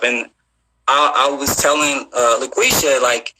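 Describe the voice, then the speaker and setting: A man speaks with an American accent. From Missouri, St. Louis. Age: 30s. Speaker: visual effects artist. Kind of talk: casual interview chat. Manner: halting, many fillers and repeats.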